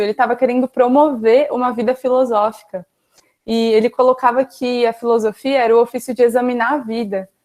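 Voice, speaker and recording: Recorded with a dry, close sound and no echo, a woman speaks in a high pitch. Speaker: philosophy student teaching a class. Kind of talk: online lecture. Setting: video call class with chat. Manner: fast; casual, conversational.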